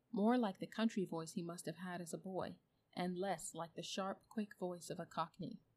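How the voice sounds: This is a natural reading voice. It carries the words as a natural reading voice.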